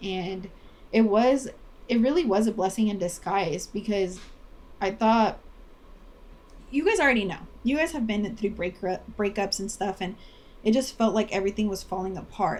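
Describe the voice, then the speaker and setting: With a Spanish accent, the speaker moves at a moderate pace, with ordinary pitch variation and long, frequent pauses. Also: woman. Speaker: podcast co-host. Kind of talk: casual chat.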